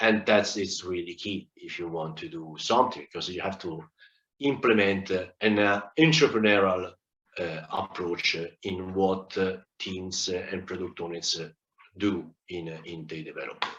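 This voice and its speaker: A man with an Italian accent speaks in a very deep, low voice at a moderate pace. His loudness swings widely, while his pitch varies in an ordinary way. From Italy. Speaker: agile consultant speaker. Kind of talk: conference talk. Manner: halting, many fillers.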